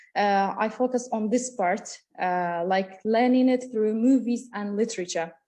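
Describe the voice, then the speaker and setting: A woman speaks at a moderate pace with a Kurdish accent. Her tone is dark and mellow over a quiet background. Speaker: university lecturer. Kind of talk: conference talk. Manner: halting, many fillers.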